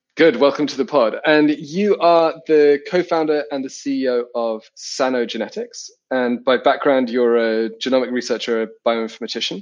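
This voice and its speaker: A man with a British accent at medium pitch, ordinary pitch variation, a moderate pace and hardly any pauses. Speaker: interviewer, organisation chief executive. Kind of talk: interview.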